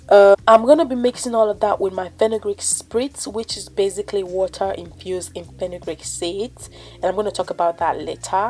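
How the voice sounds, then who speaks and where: A woman with a medium pitch talks at a fairly quick pace with hardly any pauses, ordinary pitch variation and big swings in loudness, amid noticeable background noise. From Africa. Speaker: natural hair vlogger. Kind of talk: casual tutorial vlog.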